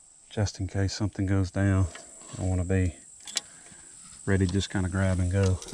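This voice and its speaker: The speaker has a Southern US accent and talks at a fairly quick pace with long, frequent pauses. Noticeable background noise runs underneath. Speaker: fishing vlogger. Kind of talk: casual vlog narration. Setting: outdoors by a roadside pond. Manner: soft-spoken.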